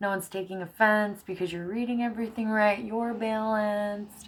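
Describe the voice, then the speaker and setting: Speaking at a moderate pace, a woman mumbles her words. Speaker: tarot reader. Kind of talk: tarot reading monologue. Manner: mumbling; casual, chatty.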